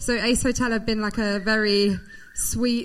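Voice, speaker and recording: There's audible room echo around this woman with a British accent. Her pitch sits fairly high and her pace is moderate. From Britain. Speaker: women's sport platform founder. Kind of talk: live show introduction. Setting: stage with audience.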